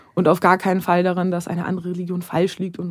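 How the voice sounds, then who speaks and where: Her tone is dark and mellow, at a medium pitch for a woman. She speaks at a very fast pace. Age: 30s. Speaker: screenwriter. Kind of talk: casual chat.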